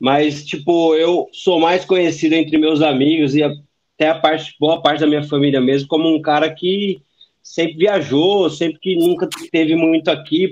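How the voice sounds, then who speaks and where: With a fairly high pitch, a man speaks in a monotone, flat intonation at very even loudness. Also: moderate pace. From Brazil. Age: 30s. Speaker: former exchange student, engineer. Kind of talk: casual chat.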